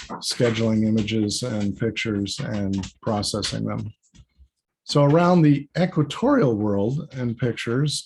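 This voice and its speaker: Over a quiet background, a man speaks with lively intonation in a somewhat breathy voice. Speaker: planetary scientist, space mission manager. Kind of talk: conference talk. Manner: casual, with fillers.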